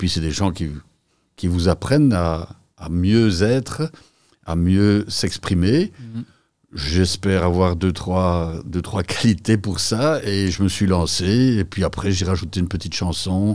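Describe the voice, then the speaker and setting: Very deep and low, a man's voice moves at a very slow pace with ordinary pitch variation over a quiet background. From Belgium, Mons-Borinage (Hainaut); Hainaut, Belgium. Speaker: entrepreneur; podcast guest. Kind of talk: interview. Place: studio. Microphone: studio mic.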